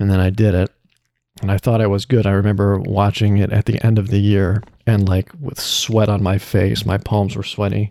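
The voice has a dark, mellow tone and an American accent, with monotone, flat intonation at a moderate pace. The sound is dry and close, with no echo. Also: man, fairly low pitch for a man. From Illinois, US Midwest. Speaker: voice actor. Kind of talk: casual interview. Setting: video call.

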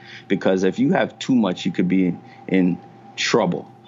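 Against noticeable background noise, a man with a very deep, low pitch speaks at a moderate pace. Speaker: strength coach. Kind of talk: interview. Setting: gym.

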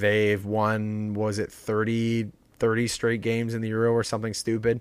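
At a fairly slow pace, a man speaks with a fairly low pitch. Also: very clean recording, silent background. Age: 20s. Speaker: podcast host. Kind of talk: casual chat.

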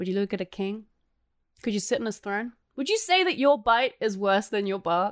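A woman speaks in an English accent at a moderate pace. Her pitch is fairly high with ordinary pitch variation, in a very clean recording with a silent background. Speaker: podcast host. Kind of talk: casual chat, podcast banter. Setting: home during quarantine.

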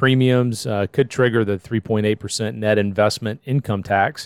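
A man with an unremarkable speaking voice, medium pitch, fairly even intonation and a moderate pace, dry and close with no echo, in a very clean recording with a silent background. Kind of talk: casual chat.

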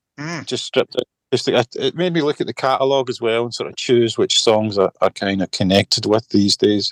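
A man at a moderate pace, the sound dry and close with no echo. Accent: Scottish. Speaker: singer-songwriter and guitarist. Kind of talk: casual chat.

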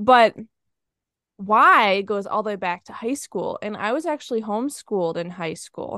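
A woman's bright, sharp, fairly high-pitched voice at a moderate pace, with lively intonation and big swings in loudness, in a dry, close sound with no echo over a quiet background. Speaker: podcaster and money coach for students. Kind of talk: interview conversation.

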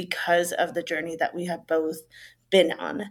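A woman speaks with a Spanish accent on a very clean recording with a silent background. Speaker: middle school teacher. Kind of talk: casual interview chat.

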